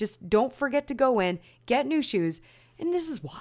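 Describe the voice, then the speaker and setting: Animated in tone, a woman speaks at a moderate pace with very wide pitch swings in a very clean recording with a silent background. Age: 20s. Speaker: podcast host, runner. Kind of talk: casual solo chat.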